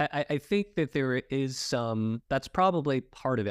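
Clean and silent in the background, this recording has a man of medium pitch speaking with an American accent. His intonation is lively. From Los Angeles, US. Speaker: podcast host. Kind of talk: interview.

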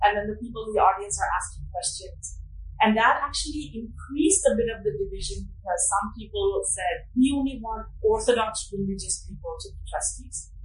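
A woman speaks at a moderate pace with an American accent, her loudness swinging widely. The room echoes audibly and background noise is noticeable. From United States. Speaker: anthropology professor. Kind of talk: interview.

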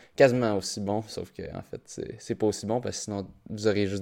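A man with a Quebec accent speaks at a moderate pace. His tone is dark and mellow, his pitch fairly low. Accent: Québécois French. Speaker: podcast host, primary school teacher and runner. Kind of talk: solo podcast monologue. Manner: halting, many fillers.

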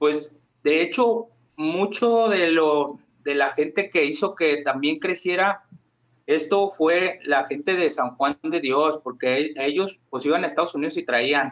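Pitched fairly high, a man talks at a very slow pace with ordinary pitch variation. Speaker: rapper. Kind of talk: casual chat.

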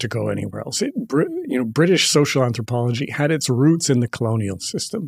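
The voice is somewhat breathy, with lively intonation. It moves at a very fast pace with hardly any pauses. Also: man, medium pitch for a man. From Canada. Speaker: professor and novelist. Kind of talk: interview.

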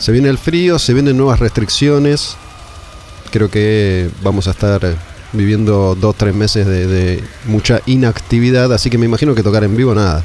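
A man's fairly low voice at a moderate pace, with ordinary pitch variation, very even loudness and noticeable background noise. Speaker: metal radio show host. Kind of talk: casual interview chat.

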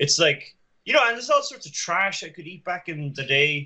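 Moderate pacing with a bright, sharp tone. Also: man. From Ireland. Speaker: podcast guest. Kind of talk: casual chat.

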